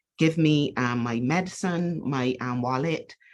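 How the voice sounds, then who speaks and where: A woman's voice with ordinary pitch variation. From Barbados. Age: 60s. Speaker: cancer survivor and business co-founder. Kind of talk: personal testimony in podcast interview. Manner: animated storytelling.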